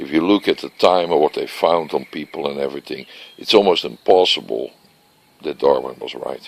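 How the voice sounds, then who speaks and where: A Dutch accent at a moderate pace. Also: man. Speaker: vlogger. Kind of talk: casual monologue vlog. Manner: unscripted, searching for words.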